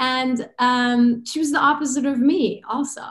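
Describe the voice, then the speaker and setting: In a Persian accent, a woman speaks with a high pitch. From Iran. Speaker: chiropractor and business consultant. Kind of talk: podcast interview, personal story.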